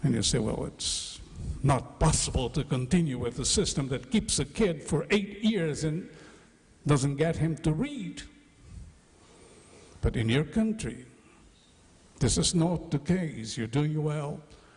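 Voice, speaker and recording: A man speaks at a fairly slow pace in a somewhat breathy, fairly high voice with lively intonation and long, frequent pauses. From Brazil. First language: Portuguese. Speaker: education speaker. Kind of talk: conference lecture.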